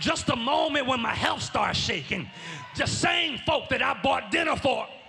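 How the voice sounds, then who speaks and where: A loud, animated man with an extremely high pitch talks amid audible room echo and noticeable background noise. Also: ordinary pitch variation, moderate pace. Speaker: pastor. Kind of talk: sermon. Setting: church.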